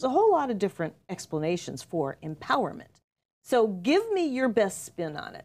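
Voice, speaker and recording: A woman's fairly high, animated voice at a fairly quick pace, with very wide pitch swings and big swings in loudness. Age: 60s. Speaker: talk show host and life coach. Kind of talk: casual chat.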